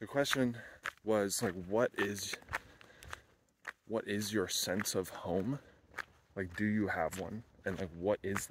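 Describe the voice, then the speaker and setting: Over noticeable background noise, in a dry sound with no echo, a man with a fairly low pitch speaks at a very slow pace with fairly even intonation and long, frequent pauses. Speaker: van-life vlogger. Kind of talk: casual vlog chat. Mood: reflective, thoughtful. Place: open country. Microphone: phone near.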